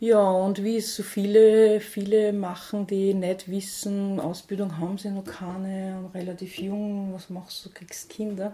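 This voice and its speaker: Monotone, flat intonation in an Austrian accent, with big swings in loudness and a fairly slow pace. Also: woman, medium pitch for a woman. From Austria, St. Pölten (Lower Austria). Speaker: food bank founder. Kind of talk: interview.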